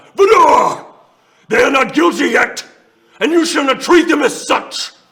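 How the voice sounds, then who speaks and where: Loud and at an extremely high pitch, a man puts on a character voice with very wide pitch swings at a moderate pace. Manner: authoritative, rebuking.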